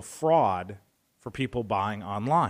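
On a very clean recording with a silent background, a man with an American accent and a medium pitch uses an ordinary speaking voice at a fairly slow pace. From Northwest Indiana, near Chicago. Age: 40s. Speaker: broadcasting operations director and stunt performer. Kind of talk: radio interview.

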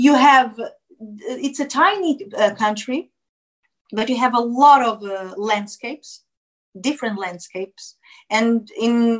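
With a Portuguese accent, a woman speaks at a very slow pace. Her pitch is high and her intonation lively. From Portugal, Lisbon area. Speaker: actress and singer. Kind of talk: interview, casual chat. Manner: halting, many fillers and restarts.

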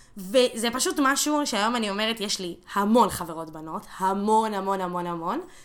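A woman talks with hardly any pauses and lively intonation. Noticeable background noise runs underneath. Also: medium pitch for a woman, moderate pace. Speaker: activist. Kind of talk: casual chat.

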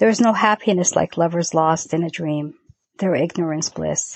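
This woman has an unremarkable speaking voice with an American accent. Her pitch is fairly low, with ordinary variation. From New York. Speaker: writer. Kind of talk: poetry reading.

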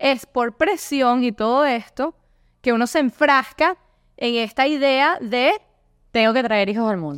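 A woman's high-pitched voice with a Venezuelan accent, animated in tone, with lively intonation at a fairly slow pace, in a dry, close sound with no echo. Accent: Venezuelan Spanish, noticeable. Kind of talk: casual interview chat.

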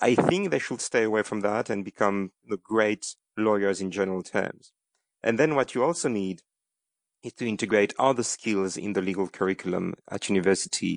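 With a French accent, a man talks at a moderate pace in a fairly low pitch with ordinary pitch variation, in a dry, close sound with no echo against a quiet background. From France. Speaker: corporate general counsel. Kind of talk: interview. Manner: halting, with frequent repetitions.

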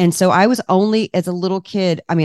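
An animated woman with an American accent talks very fast in a fairly low voice. The sound is dry and close with no echo, and the background is quiet. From Washington D.C., US East Coast. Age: 50s. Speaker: cookbook author and food entrepreneur. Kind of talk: casual interview chat.

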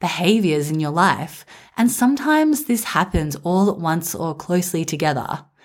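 In an Australian accent, the speaker uses a warm, calm tone and lively intonation on a very clean recording with a silent background. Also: woman. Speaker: podcast host for mothers. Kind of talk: reflective monologue.

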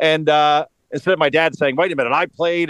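A man's fairly high-pitched voice with a New York-New Jersey accent. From northern New Jersey. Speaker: political commentator. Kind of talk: interview.

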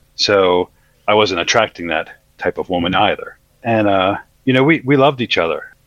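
A man with a plain, everyday voice talks at a fairly low pitch and moderate pace, his intonation lively. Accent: American. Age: 40s. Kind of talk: testimony.

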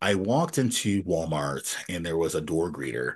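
A man speaks at a very deep, low pitch with vocal fry. He has an American accent. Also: quiet background. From upstate New York, then Nashville Tennessee. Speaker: fingerboard league founder, interviewee. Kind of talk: casual interview, storytelling.

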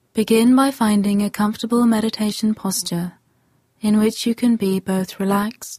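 A somewhat breathy voice with a dark, mellow, gentle, calm tone and fairly even intonation comes through with a dry, close sound and no echo. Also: woman. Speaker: meditation guide. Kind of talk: guided meditation. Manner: slow, calm, soothing; gentle, long pauses between instructions.

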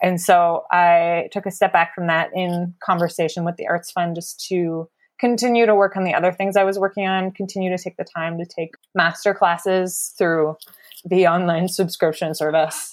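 At a fairly low pitch, a woman with an unremarkable speaking voice talks at a moderate pace with fairly even intonation. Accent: Canadian. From Ontario, Canada. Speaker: playwright. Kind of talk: casual chat. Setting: video call.

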